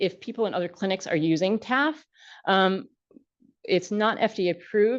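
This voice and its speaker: Against a quiet background, a woman uses lively intonation at a fairly high pitch, leaving long, frequent pauses. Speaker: pharmacist. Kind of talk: lecture. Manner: fast.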